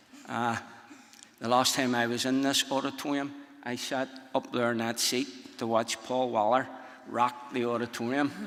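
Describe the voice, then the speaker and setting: A man speaks in a strong Northern Irish accent at a moderate pace and medium pitch, with monotone, flat intonation. Long, frequent pauses break his speech, and noticeable background noise can be heard. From Northern Ireland. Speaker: speaker. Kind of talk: conference talk. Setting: stage with audience.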